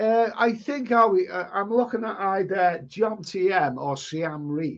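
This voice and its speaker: A man talks with a Liverpool accent. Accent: Liverpool (Scouse). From northern England, Liverpool. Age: 60s. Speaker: travel vlogger. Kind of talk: live stream chat reading. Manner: loud; halting.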